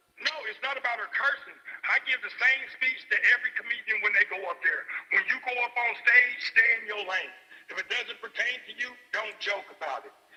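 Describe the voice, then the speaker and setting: A man's extremely high pitch with big swings in loudness amid noticeable background noise. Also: ordinary pitch variation, fairly quick pace. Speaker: caller, comedy show booker. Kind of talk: heated debate.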